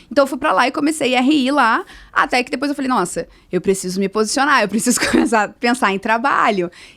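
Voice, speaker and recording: Talking at a very fast pace, a woman uses a high pitch and lively intonation. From Brazil, Rio de Janeiro. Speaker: social entrepreneur. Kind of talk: interview.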